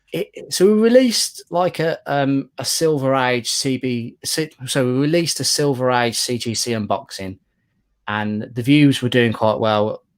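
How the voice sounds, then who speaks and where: Speaking fairly slowly with a British accent, a man is heard in a very clean recording with a silent background. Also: medium pitch for a man. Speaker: comic collector YouTuber. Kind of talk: casual chat. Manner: monotone.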